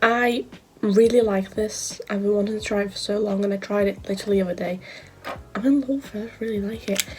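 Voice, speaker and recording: A woman with a British accent talks at a fairly quick pace. Noticeable background noise is audible behind her. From UK. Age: young. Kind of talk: casual talk to camera.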